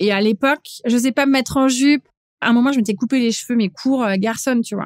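A woman talks at a very fast pace with a fairly high pitch and ordinary pitch variation, in a dry, close sound with no echo. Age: 40s. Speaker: chef. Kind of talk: interview conversation. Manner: hesitant, many fillers.

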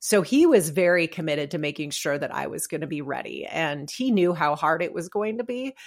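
In a very clean recording with a silent background, a woman with an American accent and an ordinary speaking voice talks at a fairly quick pace, her fairly low pitch carrying lively intonation. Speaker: retired military pilot and author. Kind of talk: interview.

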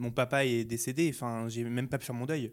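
Here a man has an unremarkable speaking voice, medium in pitch, at a moderate pace with fairly even intonation, on a very clean recording with a silent background. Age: 20s. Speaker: beauty YouTuber. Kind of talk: interview testimony.

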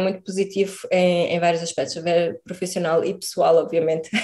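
This clip features a woman talking. She keeps a flat, monotone intonation throughout. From Portugal. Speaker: emigrant biochemist. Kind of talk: interview.

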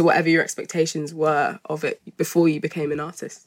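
In a very clean recording with a silent background, a woman with a British accent speaks at a moderate pace in a fairly low voice. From Malawian heritage. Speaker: podcast host, magazine editor. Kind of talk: casual interview chat.

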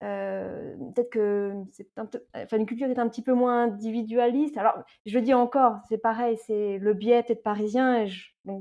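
A woman talks at a moderate pace with a fairly high pitch and almost no pauses. Her intonation stays flat and monotone while her loudness swings widely. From France, eastern Paris suburbs. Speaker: expatriate guest. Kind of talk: casual interview. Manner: halting, many hesitations.

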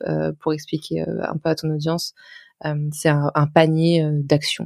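A dark, mellow tone with monotone, flat intonation and a dry, close sound without echo. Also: woman. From France, Lyon. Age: 20s. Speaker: personal finance blogger. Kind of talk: casual interview.

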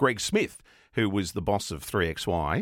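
The recording is very clean, with a silent background. A man speaks in an Australian accent. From Australia, Melbourne (Coburg). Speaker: radio presenter. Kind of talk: interview. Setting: studio.

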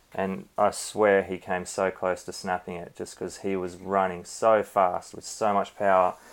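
With an Australian accent, a man speaks at a very deep, low pitch. His pace is fairly slow and his intonation monotone and flat. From Australia, Cairns (Queensland). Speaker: stunt performer and coordinator. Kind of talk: interview. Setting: remote call from home, late evening.

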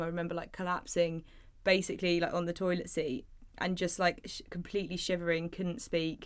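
A woman with an English accent speaks very fast at a fairly low pitch in a monotone, flat way, on a very clean recording with a silent background. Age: 20s. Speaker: art teacher and small business owner. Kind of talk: casual chat.

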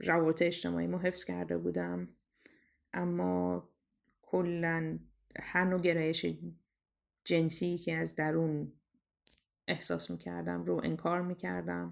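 A woman speaks at a fairly slow pace, with long, frequent pauses. The recording is very clean, with a silent background. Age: 30s. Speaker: storyteller sharing personal story. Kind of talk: personal testimony.

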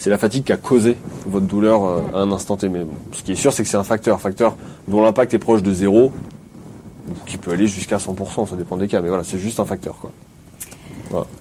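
Against noticeable background noise, a man speaks at a fairly quick pace with long, frequent pauses. His pitch is fairly low, his intonation fairly even, and his loudness swings widely. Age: 30s. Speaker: physiotherapist. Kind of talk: casual chat.

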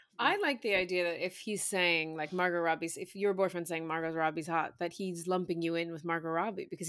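A woman with a New York accent speaks at a fairly low pitch with fairly even intonation. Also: very clean recording, silent background. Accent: New York American. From New York City, Staten Island. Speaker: guest, comedian. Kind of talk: casual chat. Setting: London-based.

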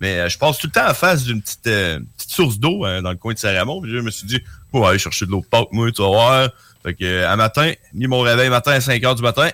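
A man speaks very fast at a medium pitch, his tone bright and sharp. The sound is dry and close, with no echo. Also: lively intonation, very clean recording, silent background. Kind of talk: casual chat.

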